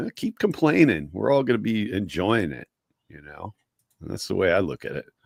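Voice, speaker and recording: A man with fairly low pitch and vocal fry talks at a moderate pace, his voice showing very wide pitch swings and big swings in loudness, in a dry, close sound with no echo. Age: 50s. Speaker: sports podcast co-host. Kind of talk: casual chat.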